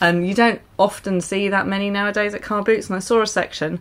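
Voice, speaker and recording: Her intonation fairly even, a woman talks. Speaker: vlogger. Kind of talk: casual vlog chat. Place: home room. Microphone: camera far.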